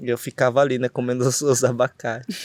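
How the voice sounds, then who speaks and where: The voice is monotone and flat at a moderate pace, in a very clean recording with a silent background and a dry, close sound with no echo. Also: man. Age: 30s. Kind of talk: interview. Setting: outdoors under an avocado tree at a festival. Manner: halting, many fillers.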